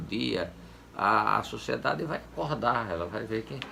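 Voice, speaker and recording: Fairly slow in pace, a man talks with vocal fry. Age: 70s. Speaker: former public official. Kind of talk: interview. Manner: halting, with many repetitions and fillers.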